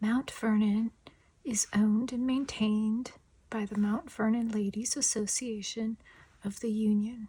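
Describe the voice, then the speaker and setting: The speaker is soft-spoken, with a relaxed tone and a very slow pace. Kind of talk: ASMR soft-spoken show and tell, casual talk to camera. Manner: soft-spoken, quiet, relaxed.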